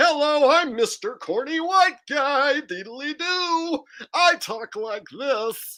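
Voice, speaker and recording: A high-pitched, put-on character voice speaks very slowly. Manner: mocking, exaggerated.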